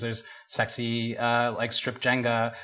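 A man talks at a medium pitch while noticeable background noise plays behind him. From Jamaica. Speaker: founder of a polyamory community collective. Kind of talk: casual interview.

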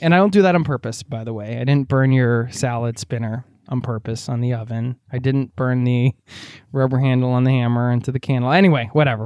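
Speaking at a very fast pace with an American accent, a man of medium pitch shows ordinary pitch variation in a dry, close sound with no echo. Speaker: travel podcast host. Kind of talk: casual chat. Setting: at home by the fire. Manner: animated.

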